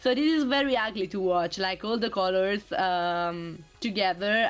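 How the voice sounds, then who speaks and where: Music plays in the background as a woman speaks with a non-native accent. Her intonation is lively and her pace moderate. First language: not English. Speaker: streamer guest presenting slides. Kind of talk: slide presentation on stream.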